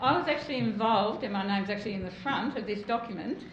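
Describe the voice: A woman's fast speech with audible room echo. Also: medium pitch for a woman, ordinary pitch variation.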